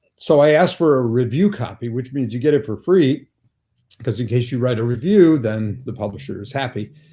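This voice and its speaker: With an American accent, a man speaks fairly quickly in a medium-pitched, somewhat breathy voice with a dark, mellow tone and lively intonation. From US Midwest, suburban Chicago. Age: 70s. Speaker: author and newspaper syndicate founder. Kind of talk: interview conversation.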